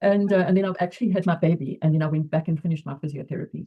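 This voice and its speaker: A woman speaks at a very fast clip in a fairly low voice, with ordinary pitch variation. Her tone is dark and mellow, and somewhat breathy. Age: 80s+. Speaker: retired physiotherapist. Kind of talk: interview answer.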